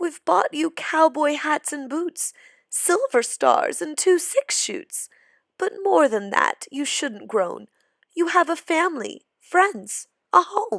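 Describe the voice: Putting on a character voice, a woman speaks slowly in a high pitch, with a fairly bright tone and lively intonation. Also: dry, close sound with no echo.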